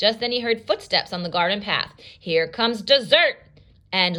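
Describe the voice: Plain reading aloud with ordinary pitch variation is what this voice offers.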